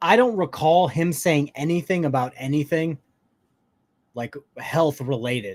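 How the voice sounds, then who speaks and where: A man with an American accent, high pitch for a man and lively intonation. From Kentucky. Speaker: livestream commentator. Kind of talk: reaction commentary. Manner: sarcastic casual.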